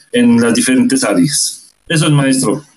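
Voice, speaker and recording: A man talks at a fairly slow pace in a fairly high pitch. Noticeable background noise runs beneath him. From Ecuador, Ibarra. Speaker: muralist and graduate student. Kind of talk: seminar discussion. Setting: video call.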